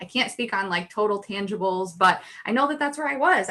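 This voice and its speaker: In an American accent, a woman with a medium-pitched, bright, sharp voice speaks with lively intonation over a quiet background. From upstate New York. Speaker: business owner, brand designer. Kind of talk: podcast interview. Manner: conversational, many fillers.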